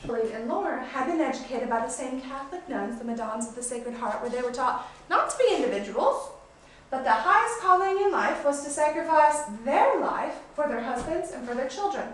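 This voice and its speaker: A woman speaks at a fairly quick pace and high pitch, with lively intonation and big swings in loudness. Audible room echo and noticeable background noise surround her. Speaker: tour guide. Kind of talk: guided tour. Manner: fast.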